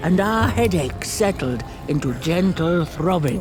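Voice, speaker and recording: Over loud music in the background, someone delivers a put-on character voice at a fairly slow pace. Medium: machinima. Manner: pompous, archaic.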